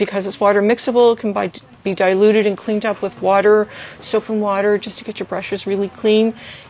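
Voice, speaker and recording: Against noticeable background noise, a woman talks at a very fast pace in a monotone, flat intonation. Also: medium pitch for a woman. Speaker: art supply store staff. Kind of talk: product showcase livestream. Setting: Instagram livestream.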